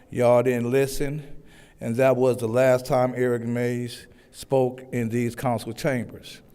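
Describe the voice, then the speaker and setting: Through audible room echo, a man's dark, mellow tone comes at a fairly slow pace in a monotone, flat intonation. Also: medium pitch for a man. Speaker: public commenter at city council meeting. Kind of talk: public comment speech. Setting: council chambers with microphone. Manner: loud.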